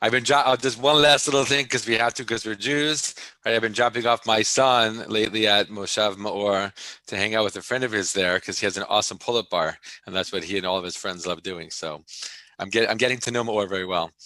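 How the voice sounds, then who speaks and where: Speaking at a fairly quick pace, a man with an American accent has a fairly low pitch. His tone is bright and sharp, and his pitch varies in an ordinary way. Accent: New York accent, fading. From New York, US. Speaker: tour guide / educator. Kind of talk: live online tour presentation. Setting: video call. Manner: casual, conversational.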